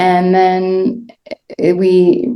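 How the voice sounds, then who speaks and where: A woman's dark, mellow tone is heard with audible room echo. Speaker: end of life doula. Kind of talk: interview. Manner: slow.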